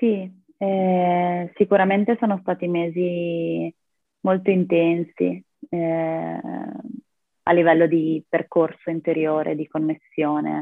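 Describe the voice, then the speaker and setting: A woman's fairly low voice, very slow and monotone, with long, frequent pauses and flat intonation. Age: 20s. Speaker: yoga practitioner and rock climber. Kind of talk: interview conversation.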